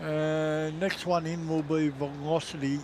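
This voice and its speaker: There is noticeable background noise as a man talks in an Australian accent. His fairly high voice keeps fairly even intonation. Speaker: aviation livestream co-host. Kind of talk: casual chat. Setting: outdoors.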